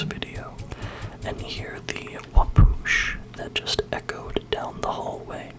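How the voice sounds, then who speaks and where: Very slow whispering comes through above noticeable background noise. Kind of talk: ASMR gaming let's play. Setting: dorm room at desk. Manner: whispered.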